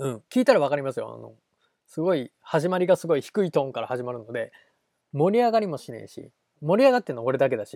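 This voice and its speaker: This man talks at a very fast pace in a dark, mellow tone and a fairly high pitch, with very wide pitch swings, big swings in loudness, and a dry, close sound with no echo. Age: 30s. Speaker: solo podcast host. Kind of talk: casual solo monologue.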